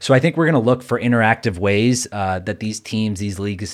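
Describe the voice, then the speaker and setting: In an unremarkable speaking voice with an American accent, a man talks at a moderate pace, fairly low in pitch with ordinary pitch variation, on a very clean recording with a silent background. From New York. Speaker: newsletter writer and sports business analyst. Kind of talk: casual interview chat.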